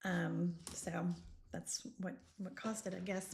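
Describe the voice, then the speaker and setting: A woman speaks with vocal fry. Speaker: beauty business coach. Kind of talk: casual chat. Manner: conversational, hesitant with fillers.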